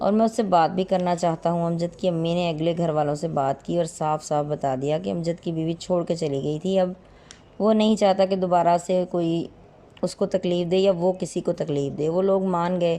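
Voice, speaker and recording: A woman speaks at a fairly low pitch in a dark, mellow tone. Her intonation stays fairly even. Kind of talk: moral story narration.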